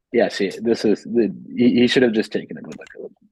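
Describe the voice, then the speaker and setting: A man speaks quietly at a moderate pace. The sound is dry and close, with no echo. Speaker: chess game commentator. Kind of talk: live commentary.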